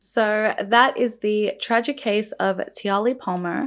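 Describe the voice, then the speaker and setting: Shaky yet animated, a woman's fairly high voice with ordinary pitch variation comes through a very clean recording with a silent background. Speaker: beauty and true crime youtuber. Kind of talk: true crime storytelling while doing makeup. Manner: shaky voice; animated, casual.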